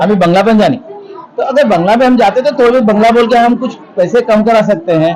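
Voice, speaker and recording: A man with a Pakistani accent talks at a moderate pace and high pitch, with ordinary pitch variation, very even loudness, and noticeable background noise. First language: Urdu (speaking Hindi). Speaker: English professor. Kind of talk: event interview.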